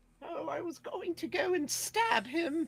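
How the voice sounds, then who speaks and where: The speaker uses a put-on character voice at an extremely high pitch. The delivery comes at a fairly slow pace. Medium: actual play.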